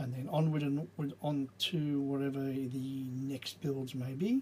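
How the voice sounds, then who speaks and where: A man's somewhat breathy voice with an English accent, at a very slow pace. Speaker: Lego building video creator. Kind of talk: casual build commentary. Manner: mumbling and stumbling.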